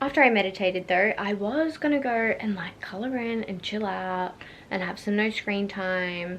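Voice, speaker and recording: At a moderate pace, a woman with an Australian accent speaks at medium pitch with ordinary pitch variation. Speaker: vlogger, new mother. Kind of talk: casual vlog. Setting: at home.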